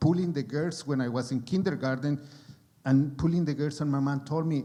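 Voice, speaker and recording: Slightly breathy and pitched somewhat high, the man's voice comes through. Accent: strong Mexican. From Mexico. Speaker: actor. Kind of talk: panel discussion. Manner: halting.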